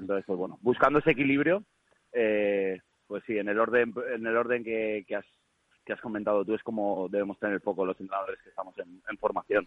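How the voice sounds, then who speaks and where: A man with an ordinary speaking voice, fairly low pitch, ordinary pitch variation, a fairly quick pace and big swings in loudness. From Valencia, Spain. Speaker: regional youth football team coach. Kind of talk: casual chat.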